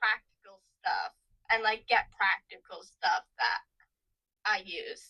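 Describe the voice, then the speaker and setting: The sound is dry and close, with no echo. Speech comes at a fairly slow pace. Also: woman. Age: 20s. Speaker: podcast co-host. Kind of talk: casual chat.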